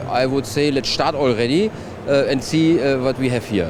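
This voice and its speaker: Someone with a German accent speaks at a fairly slow pace over noticeable background noise. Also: man. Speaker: trade show reporter. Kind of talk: guided tour presentation. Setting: trade show floor.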